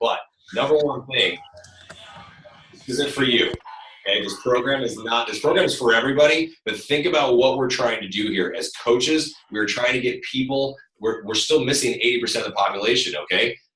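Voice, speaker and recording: A man talks at a fairly quick pace, keeping a medium pitch with ordinary pitch variation. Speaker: fitness trainer and program creator. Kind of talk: team call Q&A. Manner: animated. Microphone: far from the computer mic.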